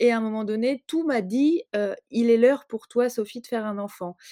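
In a dry, close sound with no echo, a woman with a fairly high pitch and a dark, mellow tone speaks at a moderate pace with ordinary pitch variation. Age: 30s. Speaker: writer. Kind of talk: testimony. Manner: halting, many repetitions and hesitations.

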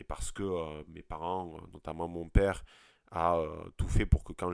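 In a very clean recording with a silent background, a man talks at a very deep, low pitch. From southern French countryside. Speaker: podcast host. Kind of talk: solo podcast monologue. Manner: hesitant, many fillers and repetitions.

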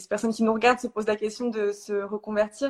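A woman speaks in a fairly high voice. Her pace is fairly quick. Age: 20s. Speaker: energy healer. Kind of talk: casual chat. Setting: Instagram live video call.

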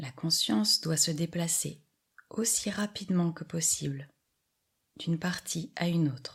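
At a fairly slow pace, the speaker uses a gentle, calm tone with long, frequent pauses. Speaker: yoga nidra guide. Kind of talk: guided meditation. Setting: audio recording for lying down. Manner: slow, calm, soothing, with long pauses; soft-spoken, gentle and even in tone.

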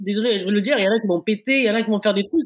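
A woman talks very fast in a fairly high pitch, her voice somewhat breathy. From Africa. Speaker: retired athlete. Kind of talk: casual interview.

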